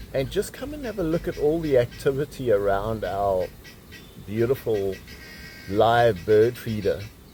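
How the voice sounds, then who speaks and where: Against music in the background, a man talks at a fairly slow pace with lively intonation and long, frequent pauses. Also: medium pitch for a man. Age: 70s. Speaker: outdoor vlogger. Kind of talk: casual vlog talk. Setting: outdoors.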